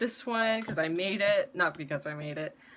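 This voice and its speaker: Background noise is clearly present. Over it, a woman talks with lively pitch movement. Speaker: YouTuber sharing personal advice. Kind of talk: casual product review monologue. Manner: slow; halting, many fillers.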